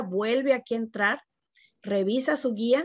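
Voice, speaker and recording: The woman speaks at a fairly slow pace with ordinary pitch variation, in a dry sound with no echo. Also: quiet background. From Mexico, Monterrey; Nuevo León, Mexico. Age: 50s. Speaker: education company co-founder. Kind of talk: interview. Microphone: video call.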